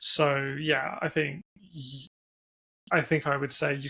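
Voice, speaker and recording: With an English accent, a man speaks in a bright, sharp tone at a fairly high pitch and with monotone, flat intonation, in a very clean recording with a silent background. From England. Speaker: internet business founder and CEO. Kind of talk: interview. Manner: hesitant, many fillers.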